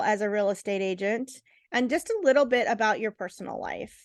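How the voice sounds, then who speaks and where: A woman talks loudly at a fairly quick pace, with ordinary pitch variation. The background is quiet. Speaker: real estate agent. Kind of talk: tutorial.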